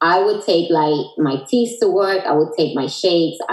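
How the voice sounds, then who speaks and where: A woman with a Dominican accent speaks in a fairly low voice. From Dominican Republic. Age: 40s. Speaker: Herbalife distributor, entrepreneur. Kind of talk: casual interview chat.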